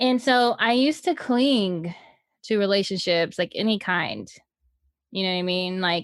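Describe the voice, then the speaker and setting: Heard in a very clean recording with a silent background, a woman speaks at medium pitch and a moderate pace. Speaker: podcast co-host. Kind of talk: casual chat. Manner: loud.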